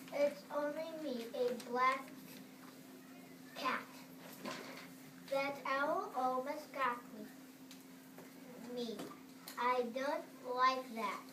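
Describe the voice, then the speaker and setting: A female-sounding voice uses a put-on character voice, high-pitched for a woman, at a very slow pace, with clear background noise and a slight echo. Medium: stage play. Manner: playful, rhyming.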